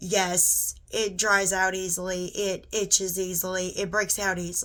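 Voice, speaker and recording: With a Southern US accent, the voice comes through on a very clean recording with a silent background. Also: woman. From US South (Georgia). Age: 30s. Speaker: beauty vlogger. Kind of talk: tutorial. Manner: casual, conversational.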